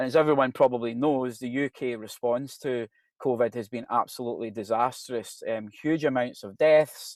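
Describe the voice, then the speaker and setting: The background is quiet, and the sound is dry and close with no echo. A man talks at a medium pitch with fairly even intonation. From Scotland, Glasgow. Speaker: professor. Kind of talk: presentation. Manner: conversational, hesitant with fillers.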